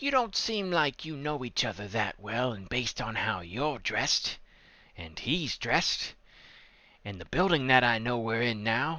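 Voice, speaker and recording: Put-on character voice from a man, medium in pitch, moderate in speed. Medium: actual play. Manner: guarded, blunt.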